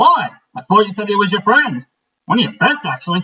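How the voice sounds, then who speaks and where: A raised, projected put-on character voice at a fairly quick pace, with very wide pitch swings. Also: man, high pitch for a man. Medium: read story. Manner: warm, easygoing.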